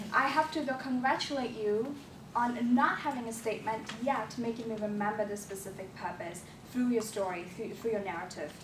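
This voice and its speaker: A woman talks at a fairly quick pace with a fairly high pitch and ordinary pitch variation. Noticeable background noise and audible room echo fill the recording. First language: not English. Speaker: public speaking club evaluator. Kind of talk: speech evaluation.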